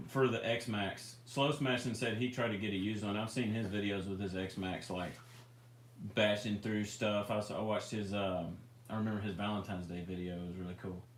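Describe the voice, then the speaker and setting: In a Memphis accent, a man speaks at a fairly quick pace with a fairly low pitch and fairly even intonation, and audible room echo surrounds him. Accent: Southern US (Memphis area). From US South, near Memphis, Tennessee. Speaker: RC hobby livestream host. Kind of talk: casual livestream chat. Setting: live stream.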